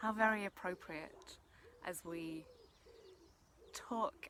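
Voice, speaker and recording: A soft-spoken woman talks in a calm, bright, sharp tone. Her intonation is lively. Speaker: energy healer / meditation guide. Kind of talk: soft-spoken ASMR energy transmission talk to camera. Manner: soft-spoken, calm.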